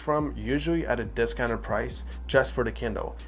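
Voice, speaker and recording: A man speaks with a non-native accent. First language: not English. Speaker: tech reviewer. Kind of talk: product review. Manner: casual with fillers.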